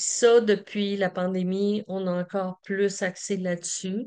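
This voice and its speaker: A woman speaks against a quiet background. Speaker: community organization representative. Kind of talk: conference presentation. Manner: halting with many fillers.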